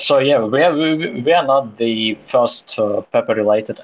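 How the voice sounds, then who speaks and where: A man with a Russian accent at a moderate pace. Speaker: crypto project co-founder. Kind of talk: casual interview. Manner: halting.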